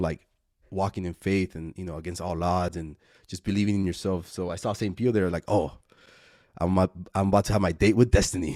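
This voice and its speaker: Very fast speech comes in an American accent with a dark, mellow tone. The recording is very clean with a silent background and a dry, close sound with no echo. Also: man. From Laredo, Texas. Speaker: filmmaker, podcast co-creator. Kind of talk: casual chat. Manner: animated storytelling.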